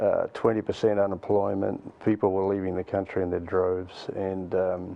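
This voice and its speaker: A man with a New Zealand accent speaks in a very deep, low voice. His intonation is monotone and flat, with hardly any pauses. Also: moderate pace. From New Zealand, Auckland. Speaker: nonprofit youth mentoring leader. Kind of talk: interview.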